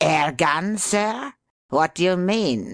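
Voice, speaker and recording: The speaker puts on a character voice. It sits at a middle pitch. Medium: read story. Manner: hostile, aggressive.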